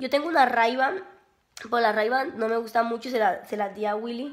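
The tone is animated and the pace fairly slow. Noticeable background noise runs underneath. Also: woman. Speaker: beauty vlogger. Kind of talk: casual vlog.

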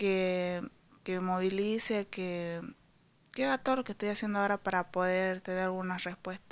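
This woman's intonation stays fairly even at a moderate pace. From Salta, Argentina; Argentina. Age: 20s. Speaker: student and cancer patient. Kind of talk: news interview. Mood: worried, pleading. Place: kitchen. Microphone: handheld.

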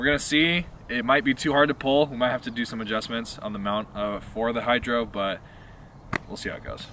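A man's fairly quick speech with ordinary pitch variation, a dry sound with no echo and light background noise. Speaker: car vlogger. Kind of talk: casual vlog chat. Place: open country.

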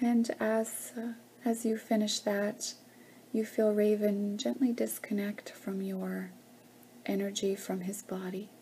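Soft-spoken and with a soothing, calm tone, the speaker goes at a very slow pace over light background noise. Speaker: guided meditation leader. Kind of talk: guided meditation. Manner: slow, soft, soothing, calm and gentle with long pauses and humming. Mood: calm, slow, soothing. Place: home room. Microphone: webcam.

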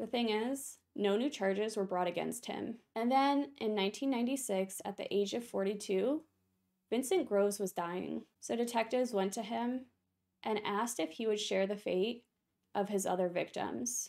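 A woman's normal speaking voice, fairly high in pitch with ordinary pitch variation, at a fairly slow pace in a very clean recording with a silent background. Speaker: true crime YouTuber. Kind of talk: true-crime narration. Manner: even, sombre, matter-of-fact storytelling pace; steady, informative, reading facts in sequence.

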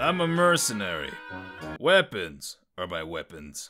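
A man does a put-on character voice, low in pitch with a bright, sharp tone and big pitch swings. He goes at a fairly slow pace, with faint music in the background.

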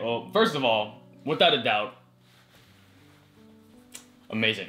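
Faint music in the background behind a man at a moderate pace. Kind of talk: reaction commentary. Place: home room.

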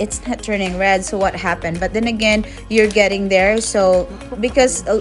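Clear music plays in the background as a woman talks at a moderate pace with fairly even intonation. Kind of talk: cooking tutorial vlog. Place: garden. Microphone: phone near.

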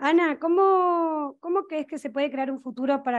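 Against a quiet background, a woman is talking. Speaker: moderator and presenter; moderator, presenter. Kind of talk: moderated panel discussion. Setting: stage with audience, live and online. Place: studio. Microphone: headset.

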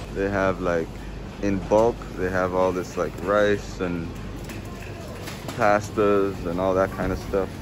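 A man speaks low, with little pitch movement. Clear background noise can be heard.

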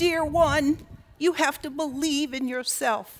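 A put-on character voice at a fairly slow pace. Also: woman, high pitch for a woman. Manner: sweet, gentle, cute.

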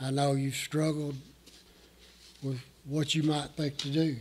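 Somewhat breathy, the voice moves at a fairly slow pace with monotone, flat intonation. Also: man. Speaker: pastor. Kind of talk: sermon. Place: church. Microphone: podium.

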